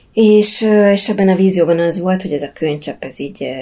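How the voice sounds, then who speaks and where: Noticeable background noise runs beneath talk delivered at a moderate pace. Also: woman. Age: 40s. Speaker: yoga teacher and Buddhist teacher. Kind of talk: casual interview.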